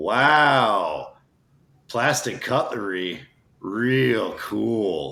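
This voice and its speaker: A man puts on a raspy character voice of medium pitch, speaking at a very slow pace. Audible echo surrounds it. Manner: sarcastic.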